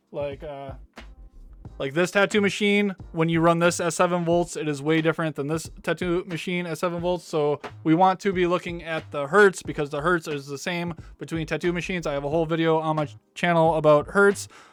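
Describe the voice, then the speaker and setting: Music plays in the background as a man talks at a fairly quick pace in a high pitch with fairly even intonation. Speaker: tattoo artist and channel host. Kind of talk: product review Q&A. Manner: fast; casual, filler-heavy.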